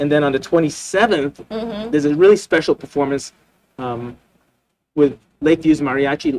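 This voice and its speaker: A man speaks at a moderate pace. His pitch varies in an ordinary way. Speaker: arts center host. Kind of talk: talk show conversation. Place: studio. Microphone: studio mic.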